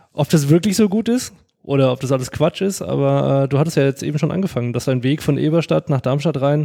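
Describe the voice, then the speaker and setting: A man speaks at a moderate pace in a dark, mellow tone. His pitch sits fairly high. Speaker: podcast host. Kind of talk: podcast interview.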